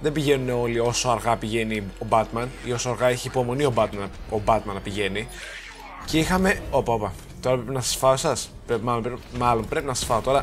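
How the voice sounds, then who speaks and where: Music plays in the background as a man speaks at a fairly quick pace, medium pitch, and ordinary pitch variation. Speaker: gaming YouTuber. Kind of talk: let's play commentary. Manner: casual, rambling with false starts.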